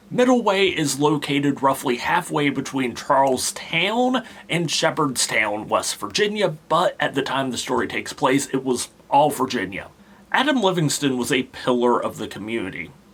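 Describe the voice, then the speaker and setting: Amid noticeable background noise, a man with a fairly high pitch speaks at a moderate pace with lively intonation. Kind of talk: folklore storytelling talk to camera. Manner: casual, conversational.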